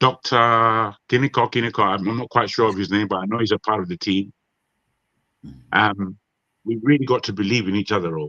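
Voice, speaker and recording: A fairly low male voice, bright and sharp, at a fairly quick pace with ordinary pitch variation and long, frequent pauses, dry and close with no echo against a quiet background. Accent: British. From Nigeria. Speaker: panelist on a marathon online talk show. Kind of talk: casual group discussion. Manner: animated.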